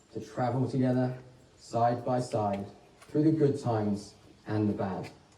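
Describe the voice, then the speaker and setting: This man speaks fairly slowly at a medium pitch, with fairly even intonation. Room echo is audible. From England via Australia. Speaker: wedding celebrant. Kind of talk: wedding ceremony speech. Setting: wedding ceremony with guests, warm venue. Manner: formal.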